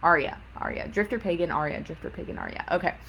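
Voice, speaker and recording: Talking at a fairly quick pace, a woman is heard over noticeable background noise. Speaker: psychic counselor. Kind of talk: live-stream Q&A. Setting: social media livestream.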